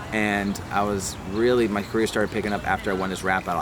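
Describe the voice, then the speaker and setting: A man talks fairly quickly with fairly even intonation. Noticeable background noise and audible room echo fill the recording. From New Jersey, Middlesex County. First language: Hebrew. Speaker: rapper. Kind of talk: personal testimony. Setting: outdoors in a park. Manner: casual, hesitant with fillers.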